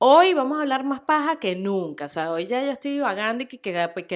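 A woman at a fairly quick pace, her pitch swinging very widely, captured in a very clean recording against a silent background. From Venezuela. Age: 40s. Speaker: podcast co-host. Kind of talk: casual chat.

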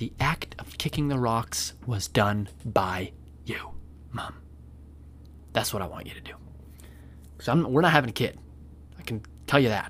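A whispering man with long, frequent pauses and big swings in loudness. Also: fairly slow pace. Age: 20s. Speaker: podcast host. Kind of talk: casual monologue.

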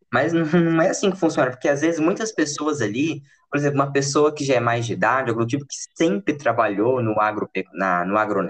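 A fairly high-pitched man talks at a fairly quick pace with vocal fry. His pitch swings very widely. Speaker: podcast host. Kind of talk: casual chat.

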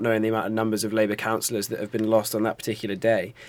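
A man's medium-pitched voice with a London accent, on a very clean recording with a silent background. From North London. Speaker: journalism student podcast host. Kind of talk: casual chat.

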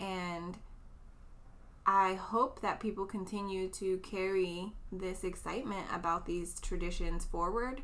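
Amid audible room echo, a woman with an American accent talks at a fairly slow pace and medium pitch with fairly even intonation. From US West Coast, East Oakland, California. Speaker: educator with a doctorate. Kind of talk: casual chat. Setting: recorded in person at host's house.

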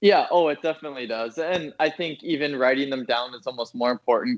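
A fairly quick-paced man with an American accent and ordinary pitch variation. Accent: Minnesota accent noticed by Chicagoans. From Minnesota. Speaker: finance worker. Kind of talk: casual chat.

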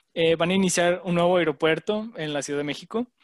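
Against a quiet background, a man talks at a high pitch with a dry, close sound and no echo. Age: 20s. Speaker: podcast co-host. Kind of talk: casual chat.

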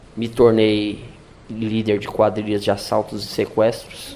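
A man speaks at a fairly slow pace, his pitch medium. Background noise is noticeable throughout. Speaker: former prisoner turned sports coordinator. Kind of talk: testimony.

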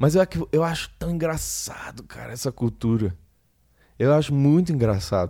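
In a very clean recording against a silent background, a man speaks with a dark, mellow tone. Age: 20s. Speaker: solo podcaster, graphic designer. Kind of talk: casual solo monologue. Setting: home. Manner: halting, many repetitions.

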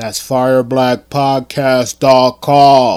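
A man puts on a character voice. It sits at a medium pitch with monotone, flat intonation. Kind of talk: sales pitch. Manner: loud, exaggerated, hyped.

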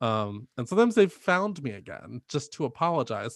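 Against a quiet background, a man with an American accent speaks at a fairly high pitch with very wide pitch swings. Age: 30s. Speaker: podcast host. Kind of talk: casual chat. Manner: animated.

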